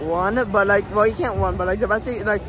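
Clear music plays in the background as a man speaks in a high pitch, his voice dry with no echo. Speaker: theme park vlogger. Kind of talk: casual vlog chat. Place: street. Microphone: phone near.

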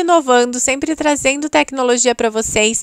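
In a dry, close sound with no echo, a woman with a Brazilian accent speaks at a high pitch with ordinary pitch variation. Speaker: Natura consultant and YouTuber. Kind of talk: street-market pitchman style sales pitch, rattling off promo items and prices. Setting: video channel, recorded to camera. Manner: breathless price-list patter with repeated 'gente' and 'tá bom?'.

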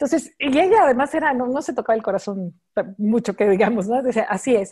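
A woman's dark, mellow voice in a Mexican accent, fairly high in pitch, at a fairly quick pace against a quiet background. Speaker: fashion designer, entrepreneur; interview guest. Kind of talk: interview. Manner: fast; animated. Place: home room. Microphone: video call.

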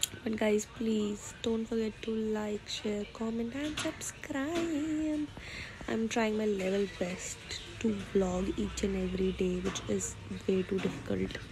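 A woman is heard talking fairly slowly. Behind her, there is noticeable background noise. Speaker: vlogger. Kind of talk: casual vlog chat. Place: home room. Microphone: phone near.

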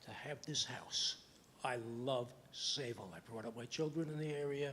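A man in a New York accent sounds somewhat breathy at a fairly high pitch, with lively intonation. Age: 80s+. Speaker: resident speaking at public hearing. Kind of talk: public comment at planning board meeting. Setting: town planning board meeting.

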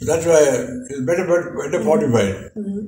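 This man's voice has a dark, mellow tone, somewhat breathy, with a fairly high pitch and very wide pitch swings. Audible room echo surrounds it. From India. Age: 80s+. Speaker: war veteran. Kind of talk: interview answer. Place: home room. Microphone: camera far.

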